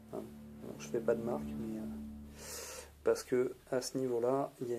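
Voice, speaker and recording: Dark and mellow in tone, a man's medium-pitched voice moves at a fairly slow pace. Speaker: cosplay prop maker. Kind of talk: casual tutorial narration. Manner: hesitant, many filler words.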